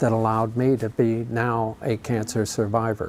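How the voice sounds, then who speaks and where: A man talking at a very slow pace. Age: 60s. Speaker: charity bike ride founder. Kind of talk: interview.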